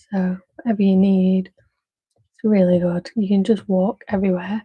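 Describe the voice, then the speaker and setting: Somewhat breathy and dark, mellow in tone, a woman talks at a fairly slow pace in a medium pitch, recorded dry and close with no echo. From Manchester, northern England. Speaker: craft livestreamer. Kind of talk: casual live-stream chat while crafting. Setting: live stream. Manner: calm, gentle.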